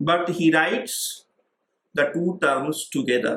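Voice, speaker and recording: A man speaks very slowly in a bright, sharp tone, his pitch moving in an ordinary way. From rural India. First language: Indian regional language. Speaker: professor. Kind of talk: lecture. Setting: online class. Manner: hesitant fillers.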